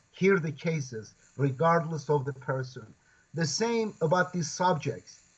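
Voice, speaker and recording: A man talks at a fairly slow pace in a fairly high pitch, somewhat breathy. His intonation is lively. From Turkey, Kurdish region. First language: Kurdish. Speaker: professor and Quran translator. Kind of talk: interview conversation. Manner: halting.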